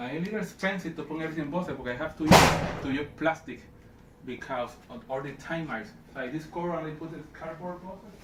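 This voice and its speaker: With a non-native accent, a man talks at a very fast pace and fairly high pitch, his loudness swinging widely, amid audible room echo and noticeable background noise. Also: ordinary pitch variation. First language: Spanish. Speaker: vlogger, toy and art collector. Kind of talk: casual home video monologue. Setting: at home. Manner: halting, repeating words.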